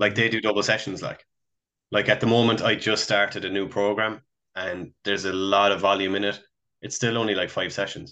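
A man speaks in a Cork accent at a fairly quick pace and fairly low pitch, with a bright, sharp tone. His intonation is monotone and flat over a quiet background. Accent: Irish (Cork). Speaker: podcast co-host. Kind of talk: casual chat.

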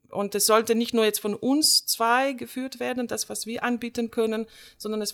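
In a very clean recording with a silent background, a woman speaks at a moderate pace in a fairly high voice. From Slovenia. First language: Slovenian (speaking German). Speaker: theatre director and drama teacher. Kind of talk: casual chat.

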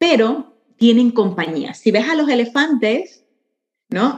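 A woman's high pitch with very wide pitch swings. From Venezuela. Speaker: entrepreneur and spiritual guide. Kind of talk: casual interview chat.

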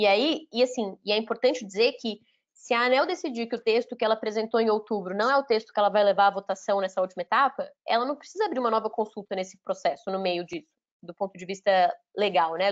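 Speaking at a very fast pace, a woman uses a fairly high pitch with ordinary pitch variation and big swings in loudness. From Brazil, Minas Gerais. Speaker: lawyer and energy sector executive. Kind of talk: interview.

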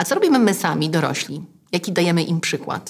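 In a very clean recording with a silent background, a woman speaks in a normal speaking voice, fairly low in pitch, at a moderate pace. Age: 40s. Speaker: podcast host. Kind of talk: scripted narration; interview. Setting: in person.

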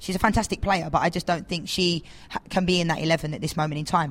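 The voice comes with an English accent. It sounds somewhat breathy. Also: woman. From England. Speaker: professional footballer. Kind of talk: casual chat.

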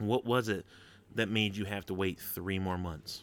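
A man at a fairly slow pace, on a very clean recording with a silent background. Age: 30s. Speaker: gaming podcast host. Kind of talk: casual solo podcast talk. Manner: animated.

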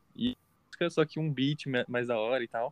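Recorded dry and close with no echo, a man's fairly high voice carries a dark, mellow tone. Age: 20s. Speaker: podcast co-host, university student. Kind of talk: casual chat.

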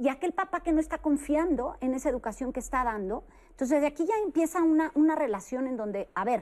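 A woman speaks at a fairly quick pace in a high pitch. Her pitch swings very widely. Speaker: psychologist. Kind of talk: panel discussion. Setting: studio.

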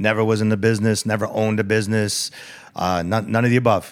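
This man speaks at a very fast pace with a New York accent. His pitch is fairly low. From New York, the Bronx. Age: 50s. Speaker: restaurant owner. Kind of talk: casual chat.

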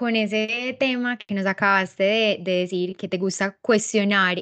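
A woman speaks with an Antioquian accent and fairly even intonation. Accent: Colombian paisa Spanish. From Colombia, paisa region. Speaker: podcast host. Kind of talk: casual interview.

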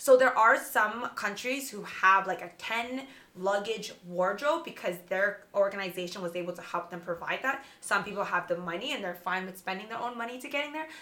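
This woman talks fairly quickly at a medium pitch, with hardly any pauses and lively intonation. Her loudness swings widely, and there is noticeable background noise. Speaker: pageant veteran. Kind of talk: casual chat.

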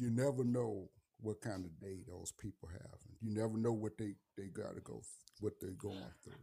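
With an American accent, a man speaks at a moderate pace in a dark, mellow, somewhat breathy tone, with ordinary pitch variation and big swings in loudness. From St. Louis, Missouri. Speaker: navy veteran. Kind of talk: casual interview. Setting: studio. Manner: halting, many fillers.

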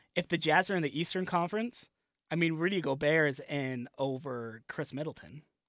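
On a very clean recording with a silent background, a man with a fairly high pitch and ordinary pitch variation speaks at a moderate pace in an ordinary speaking voice. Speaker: sports podcast co-host. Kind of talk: casual banter.

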